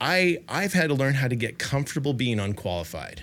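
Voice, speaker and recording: Vocal fry runs through this man's fairly high-pitched voice, which moves in very wide pitch swings. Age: 50s. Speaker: podcast host. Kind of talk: interview conversation.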